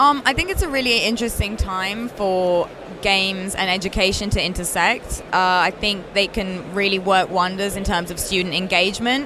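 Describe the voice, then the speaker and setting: A woman with a British accent talks at a moderate pace and a medium pitch, with ordinary pitch variation and hardly any pauses. Noticeable background noise is present. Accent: very British. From Italy. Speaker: games company founder. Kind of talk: interview.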